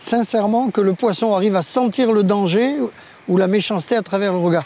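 A man speaks with a high voice. The sound is dry, with no echo. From Oran, Algeria, raised in France. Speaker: veteran champion spearfisher. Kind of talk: interview recollection. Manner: measured, explanatory. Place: beach. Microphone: lapel.

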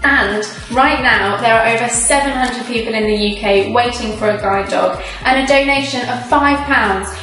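A woman's fairly high-pitched voice at a moderate pace, with audible room echo and faint music in the background. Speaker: auction house presenter. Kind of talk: charity promotional video presentation. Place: studio.

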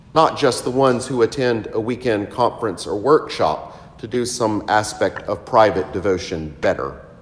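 A man's voice with ordinary pitch variation and hardly any pauses. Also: moderate pace. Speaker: priest. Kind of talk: sermon. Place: church.

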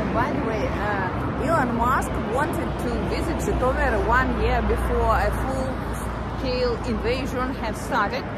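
Music plays behind a woman speaking at a fairly slow pace. The sound is dry, with no echo. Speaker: travel vlogger. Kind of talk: casual vlog chat. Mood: chatty, slightly mocking. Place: street. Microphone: phone near.

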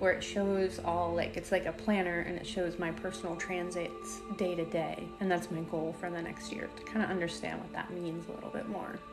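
A woman at a moderate pace with hardly any pauses, clear music in the background. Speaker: spiritual content creator. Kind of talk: casual vlog chat. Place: home room.

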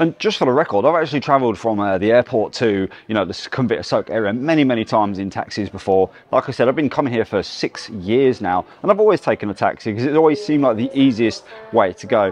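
Hardly pausing at all, a man talks at a very fast pace, his voice dry with no echo. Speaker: travel vlogger. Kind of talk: casual vlog chat. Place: station. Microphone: lapel.

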